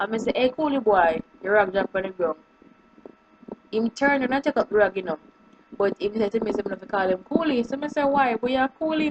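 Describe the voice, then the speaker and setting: A woman with a fairly high pitch talks at a very fast pace broken by long, frequent pauses, in a dry, close sound with no echo but noticeable background noise. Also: lively intonation. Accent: Jamaican. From Jamaica. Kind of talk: casual talk to camera.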